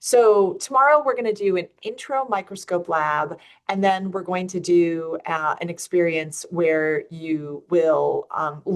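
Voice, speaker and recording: With an upstate New York accent, a woman speaks at a fairly slow pace and fairly low pitch, her intonation lively and her speech running with hardly any pauses. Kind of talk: teacher explaining a lab schedule.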